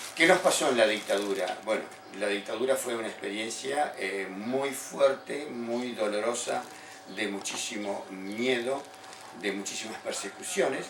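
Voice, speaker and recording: The speaker talks at a fairly slow pace with ordinary pitch variation. Noticeable background noise and audible room echo are present. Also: man, medium pitch for a man. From Argentina, Buenos Aires province (General Villegas). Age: 60s. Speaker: political activist and former theology student. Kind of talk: interview testimony.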